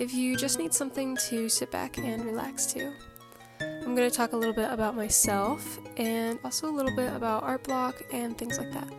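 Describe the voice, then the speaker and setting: Lively intonation from a woman at a fairly high pitch and moderate pace, with music in the background. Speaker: artist. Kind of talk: casual talk while drawing. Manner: relaxed, chill.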